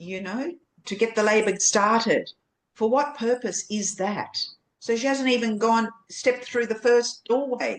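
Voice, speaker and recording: Using a normal speaking voice, a woman with a fairly high pitch talks at a fairly slow pace with fairly even intonation. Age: 60s. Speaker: birth educator. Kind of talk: podcast interview.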